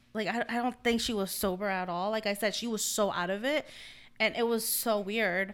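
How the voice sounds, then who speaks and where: A slight non-native accent in a very clean recording with a silent background. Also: woman, fairly high pitch for a woman, fairly even intonation, moderate pace. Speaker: podcast host. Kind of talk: casual chat.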